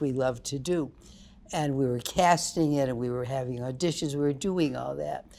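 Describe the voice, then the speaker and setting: With an American accent, a woman speaks in a very deep, low pitch with a dark, mellow tone and ordinary pitch variation. The recording is very clean, with a silent background. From upstate New York. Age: 90s. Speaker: theater producer. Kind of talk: interview conversation.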